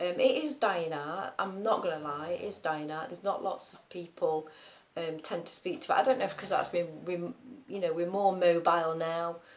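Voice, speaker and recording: Speaking with an East Midlands accent, a woman talks at a fairly quick pace in a fairly low pitch, with ordinary pitch variation and big swings in loudness. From Nottinghamshire, East Midlands. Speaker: nursery worker. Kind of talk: casual talk to camera.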